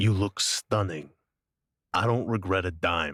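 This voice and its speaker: Putting on a character voice, a man speaks fairly slowly at a very deep, low pitch in a very clean, silent recording with a dry, close sound and no echo. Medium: read story. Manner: smooth, teasing.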